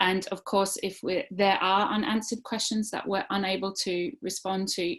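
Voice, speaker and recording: Moderate pace and ordinary pitch variation from a woman at medium pitch. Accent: Australian. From Australia. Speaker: teacher and webinar presenter. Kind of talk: online webinar presentation. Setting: online webinar. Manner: hesitant, many fillers.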